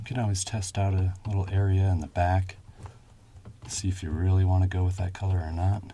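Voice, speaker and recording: Fairly quick yet calm and soothing, a man speaks in a very deep, low pitch with a dark, mellow, somewhat breathy tone and monotone, flat intonation. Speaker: shoe shine ASMR creator. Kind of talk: casual talk to camera, ASMR demonstration. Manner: calm, soothing.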